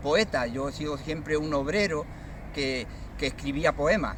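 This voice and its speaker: With background noise clearly audible, a fairly high-pitched man speaks at a moderate speed. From Andalusia, Cádiz province (Barbate). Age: 60s. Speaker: poet. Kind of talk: interview testimony. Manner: hesitant, many fillers.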